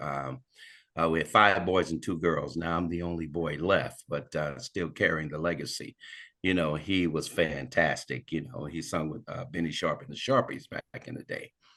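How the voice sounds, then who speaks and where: A man with a very deep, low pitch and a bright, sharp tone speaks at a moderate pace, with vocal fry and ordinary pitch variation. The background is quiet. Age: 60s. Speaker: singer. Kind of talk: casual chat. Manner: halting.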